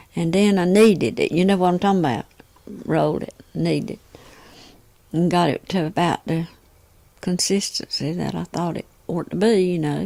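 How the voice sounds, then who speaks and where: A woman with a Southern US accent speaks in a dark, mellow, relaxed tone with ordinary pitch variation. Her delivery has long, frequent pauses. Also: moderate pace. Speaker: homemaker and cook. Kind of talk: oral history storytelling. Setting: home, close microphone. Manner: relaxed, conversational.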